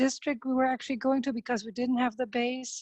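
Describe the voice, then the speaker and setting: The woman's dark, mellow tone comes through in a monotone, flat delivery. The sound is dry and close with no echo, over a quiet background. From Germany. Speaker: parent organizer of a dual-language program. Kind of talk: webinar panel talk.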